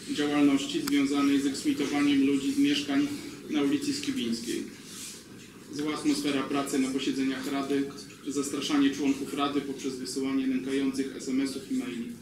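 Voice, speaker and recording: With audible room echo and noticeable background noise, a man talks at a fairly quick pace in a monotone, flat intonation. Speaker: district council member. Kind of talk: formal reading of a motion at a meeting. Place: meeting room.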